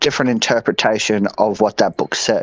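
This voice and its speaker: A man with an Australian accent, dry and close with no echo. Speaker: podcast co-host. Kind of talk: casual podcast chat. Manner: animated.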